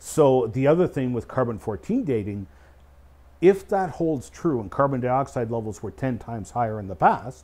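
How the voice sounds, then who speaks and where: This man has a Canadian accent and a dark, mellow tone. His intonation is lively. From Canada, Eastern Ontario; Ontario. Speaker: creation scientist and speaker; speaker. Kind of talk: casual explanatory discussion. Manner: hesitant fillers. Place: studio.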